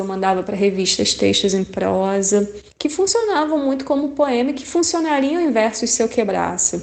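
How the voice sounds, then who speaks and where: A woman at a moderate pace with lively intonation and hardly any pauses, over noticeable background noise. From Rio de Janeiro. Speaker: poet. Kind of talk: interview answer.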